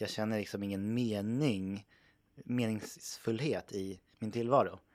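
The recording is very clean, with a silent background. A man talks at a fairly low pitch with fairly even intonation. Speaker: podcast co-host. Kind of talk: casual chat.

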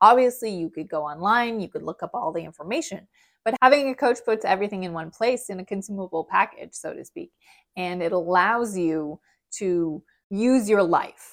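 A woman with a plain, everyday voice speaks at a moderate pace and medium pitch, with ordinary pitch variation and a dry, close sound with no echo. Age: 30s. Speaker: health and nutrition coach podcast host. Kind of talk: solo podcast monologue. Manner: casual, conversational.

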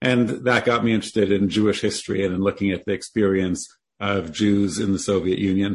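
A man with a Canadian accent has a normal speaking voice, pitched fairly low, and talks at a fairly quick pace. His intonation is fairly even and his loudness very even. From Canada, Toronto. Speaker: history professor and author. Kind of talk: interview.

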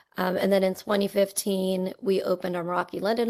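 On a very clean recording with a silent background, a woman speaks at a moderate pace and medium pitch. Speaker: talent acquisition leader. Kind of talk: casual podcast interview. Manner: warm, cheerful.

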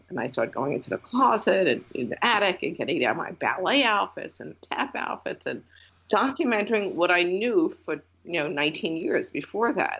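A woman in an American accent, medium in pitch with vocal fry, very wide pitch swings and a moderate pace. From New York (Long Island and city). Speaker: photographer and former art teacher. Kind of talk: interview.

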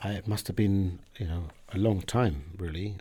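Speaking fairly slowly with a British accent, a man uses a fairly low, dark, mellow voice and fairly even intonation in a very clean recording with a silent background. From southern England. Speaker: diplomat. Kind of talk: interview. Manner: halting.

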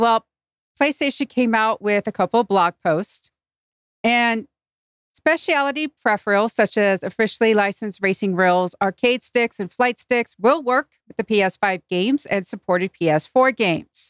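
In an ordinary speaking voice, a woman with a fairly high pitch talks at a moderate pace, with a dry, close sound and no echo. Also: ordinary pitch variation. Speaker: podcaster. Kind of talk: casual chat. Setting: live-streamed remote recording.

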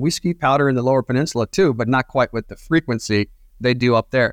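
A man with an American accent talks at a fairly quick pace, medium in pitch with ordinary variation, in a normal speaking voice. The recording is very clean, dry and close, with no echo and a silent background. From northern Michigan, US. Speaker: tourism media director. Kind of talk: casual interview.

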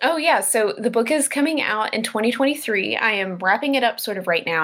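Lively intonation marks this woman's moderate-paced delivery in an ordinary speaking voice. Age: 30s. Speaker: graphic novelist. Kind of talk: interview.

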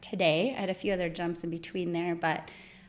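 A woman with an American accent, an unremarkable speaking voice, medium pitch, fairly even intonation and a fairly quick pace. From northern Michigan. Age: 40s. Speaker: environmental regulatory consultant. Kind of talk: casual interview.

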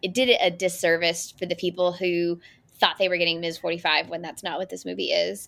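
Speaking with an American accent, a woman uses fairly even intonation and vocal fry. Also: fairly low pitch for a woman, fairly quick pace. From California. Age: 30s. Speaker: film critic. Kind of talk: casual chat.

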